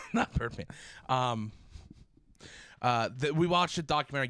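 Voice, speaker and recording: A loud man with a medium pitch, a bright, sharp tone and lively intonation. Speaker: podcast co-host. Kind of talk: casual chat.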